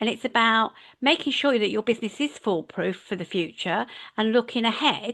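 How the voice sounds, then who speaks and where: A woman speaks with an unremarkable speaking voice, fairly high in pitch with ordinary variation. Her pace is moderate and the background quiet. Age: 60s. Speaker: leadership and management mentor. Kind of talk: casual interview chat.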